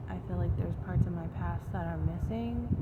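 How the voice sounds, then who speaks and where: A soft-spoken woman amid audible room echo and noticeable background noise. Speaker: vlogger. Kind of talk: casual vlog monologue. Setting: outdoors in a chair near home. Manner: soft-spoken, speaking quietly.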